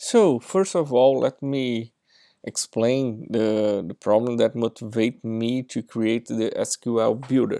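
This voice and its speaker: Speaking very slowly with a Brazilian accent, a man uses a medium pitch, ordinary pitch variation and a dark, mellow tone. The recording is very clean with a silent background and a dry, close sound with no echo. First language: Portuguese. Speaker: software engineer. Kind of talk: tech demo presentation.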